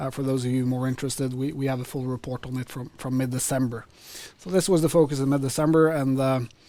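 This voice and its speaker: Talking at a very fast pace, a man at a medium pitch keeps a fairly even intonation and a dark, mellow tone. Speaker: equity analyst. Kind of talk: webinar presentation. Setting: webinar. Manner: halting.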